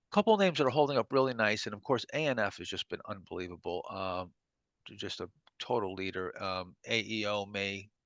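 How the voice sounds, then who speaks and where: Against a quiet background, a man with an unremarkable speaking voice and fairly low pitch talks at a fairly quick pace with ordinary pitch variation. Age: 50s. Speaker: stock trading coach. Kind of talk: live trading webinar Q&A. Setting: online training room. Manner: casual, filler-heavy.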